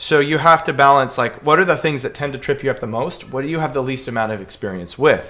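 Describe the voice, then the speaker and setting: A man's bright, sharp voice at a fairly high pitch, very fast pace and ordinary pitch variation. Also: hardly any pauses. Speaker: piano teacher. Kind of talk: Q&A livestream answering viewer questions. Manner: casual, filler-heavy.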